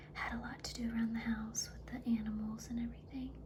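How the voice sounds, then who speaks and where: Noticeable background noise sits behind a soft-spoken woman. She talks at a fairly quick pace. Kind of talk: ASMR chatty makeup favorites talk to camera. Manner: soft-spoken, chatty.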